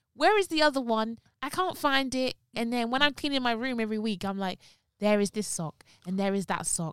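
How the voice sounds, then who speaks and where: The voice moves at a fairly quick pace with very wide pitch swings, and the sound is dry and close with no echo. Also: woman. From London. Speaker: podcast co-host. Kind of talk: casual chat.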